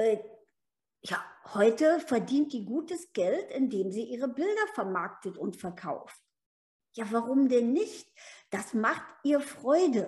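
Very slow and broken by long, frequent pauses, a woman's high voice moves through very wide pitch swings on a very clean recording with a silent background. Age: 70s. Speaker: business mentor and life coach. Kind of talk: casual podcast conversation.

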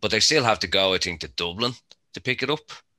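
Lively intonation and a bright, sharp tone mark this man's voice, heard in a very clean recording with a silent background. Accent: Irish. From Ireland. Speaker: cannabis grower, podcast panelist. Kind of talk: casual chat.

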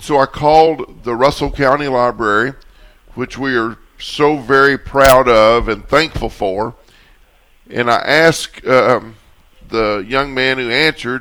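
Speaking at a fairly slow pace, a man with a Kentucky accent has a medium pitch, ordinary pitch variation, and a bright, sharp tone. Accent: Southern US (Kentucky). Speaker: radio host. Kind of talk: radio talk show.

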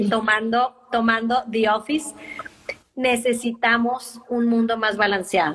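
A woman with a Monterrey accent speaks at a fairly slow pace, her fairly high voice held to fairly even intonation. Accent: Monterrey Mexican Spanish. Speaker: life and business coach. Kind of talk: casual interview.

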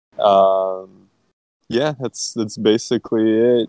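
A man speaks at a fairly slow pace in a dark, mellow tone. The sound is dry and close, with no echo. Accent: American. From Boston. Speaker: product manager. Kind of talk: casual chat.

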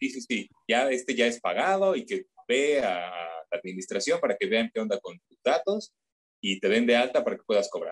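Speaking at a moderate pace with a Mexican accent, this voice swings widely in loudness, recorded dry and close with no echo. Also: man. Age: 30s. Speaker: voice actor. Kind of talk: interview. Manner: hesitant.

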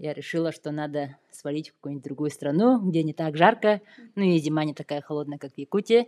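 On a very clean recording with a silent background, a woman speaks. She has a normal speaking voice with ordinary pitch variation. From Yakutia, Russia. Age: 30s. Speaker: software developer. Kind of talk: casual interview.

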